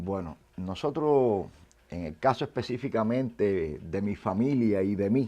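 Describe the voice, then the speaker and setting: Against a quiet background, a man with a fairly low pitch and a dark, mellow tone speaks at a fairly slow pace with lively intonation. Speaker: former literacy campaign learner. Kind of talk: interview.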